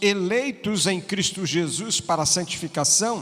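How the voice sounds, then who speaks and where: Speaking at a very slow pace, a man with a high pitch uses ordinary pitch variation. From Piauí, Brazil. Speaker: pastor. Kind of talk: sermon.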